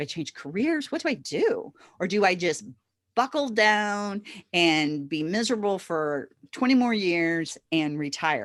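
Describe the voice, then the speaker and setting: Very wide pitch swings at a fairly slow pace. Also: woman, medium pitch for a woman. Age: 60s. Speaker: virtual assistant business owner. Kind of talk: podcast interview. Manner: animated.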